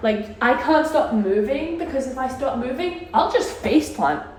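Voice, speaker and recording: Audible room echo and noticeable background noise surround a woman speaking with lively intonation. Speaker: vlogger. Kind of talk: travel vlog, casual chat to camera. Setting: on a cruise ship, partly outdoors. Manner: animated.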